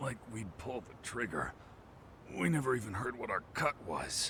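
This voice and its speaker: Over clear background noise, a man does a raspy put-on character voice at a medium pitch with big swings in loudness. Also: moderate pace. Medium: video game. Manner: casual, slangy.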